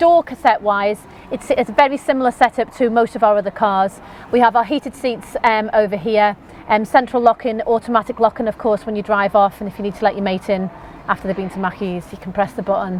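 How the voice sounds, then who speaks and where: Over noticeable background noise, a woman with a Liverpool accent talks at a very fast pace in a fairly high pitch with ordinary pitch variation. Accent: Scouse (Liverpool). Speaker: car sales presenter. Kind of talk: product walkthrough. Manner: animated.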